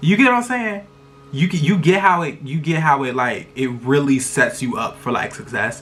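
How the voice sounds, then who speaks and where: A man speaks loudly at a moderate pace, his pitch swinging very widely. Noticeable background noise runs behind him. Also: fairly high pitch for a man. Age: 20s. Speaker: vlogger. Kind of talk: casual chat. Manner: animated.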